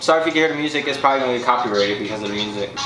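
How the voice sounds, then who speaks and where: Noticeable background noise behind a male speaker. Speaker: husband in a married couple vlog. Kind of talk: casual talk to camera. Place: home room. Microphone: camera far.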